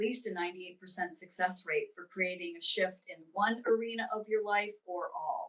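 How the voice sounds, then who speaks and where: A woman with an ordinary speaking voice, a medium pitch, ordinary pitch variation, a moderate pace and an American accent. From US East Coast. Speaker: spiritual teacher and intuitive reader. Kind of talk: interview.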